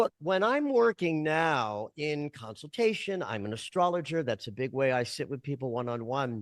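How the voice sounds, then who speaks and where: A man at a moderate pace with hardly any pauses, fairly high in pitch, with very wide pitch swings, in a dry, close sound with no echo against a quiet background. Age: 60s. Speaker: dream interpreter and astrologer. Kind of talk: interview conversation.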